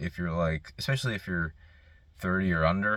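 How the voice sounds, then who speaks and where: This man's pitch is very deep and low. It moves with ordinary variation. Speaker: mental health vlogger. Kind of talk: casual monologue. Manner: stutters, halting.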